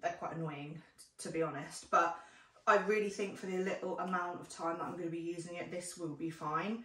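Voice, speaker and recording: A woman talks at a fairly quick pace in a fairly low pitch, with fairly even intonation. Room echo is audible. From UK. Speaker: parenting vlogger. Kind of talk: casual vlog review. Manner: chatty, friendly. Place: home room. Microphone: camera far.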